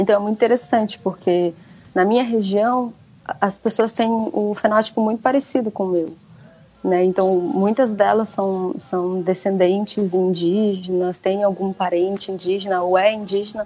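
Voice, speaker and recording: This woman has an ordinary speaking voice at a medium pitch. Her pitch varies in an ordinary way. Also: moderate pace. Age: 20s. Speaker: author and researcher. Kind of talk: interview.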